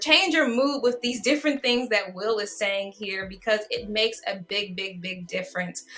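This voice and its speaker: A woman's voice with very wide pitch swings over noticeable background noise. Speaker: online show host. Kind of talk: interview. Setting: livestream.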